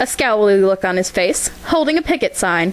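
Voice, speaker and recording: Noticeable background noise sits behind a woman at a medium pitch. Her intonation is lively and her pace moderate. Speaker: fan fiction reader. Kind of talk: story reading.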